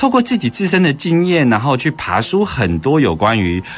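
Over noticeable background noise, a man with a Taiwanese accent talks at a moderate pace, his pitch swinging very widely. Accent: Taiwanese Mandarin. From Taiwan, Keelung. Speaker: radio host. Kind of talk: casual interview.

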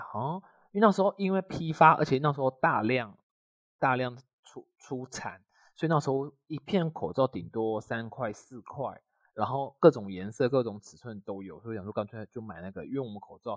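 Loudness swings widely as a man with a Taiwanese accent and medium pitch speaks at a moderate pace, recorded dry and close with no echo. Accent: Taiwanese Mandarin. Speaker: podcast co-host. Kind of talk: casual chat. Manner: slurred, mixes up an/ang sounds.

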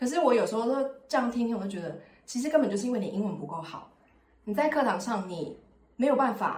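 A woman's fairly high voice with lively intonation, a very fast pace and long, frequent pauses. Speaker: podcast host. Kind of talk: casual chat.

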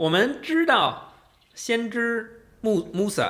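A man speaks in a bright, sharp tone, his pitch swinging very widely. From Beijing, China. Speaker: Islamic art expert and tour guide. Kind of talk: casual interview. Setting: studio.

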